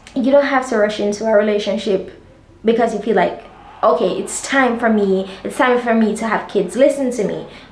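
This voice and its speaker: A woman's fairly high voice at a moderate pace with ordinary pitch variation, heard with audible room echo and noticeable background noise. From Jamaica. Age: 20s. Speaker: lifestyle vlogger. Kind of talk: casual chat. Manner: animated.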